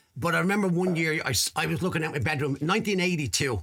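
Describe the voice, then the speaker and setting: Over noticeable background noise, a man talks at a very fast pace. He has a Dublin accent and lively intonation. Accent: Dublin Irish. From Ireland, Dublin (Crumlin). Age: 50s. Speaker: podcast host. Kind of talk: interview.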